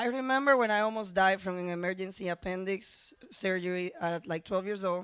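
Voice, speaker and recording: Recorded very cleanly against a silent background, the speaker has a Spanish accent and keeps a moderate pace with fairly even intonation. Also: woman. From Dominican Republic, San Pedro de Macorís. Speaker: teacher. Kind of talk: personal storytelling and reading aloud.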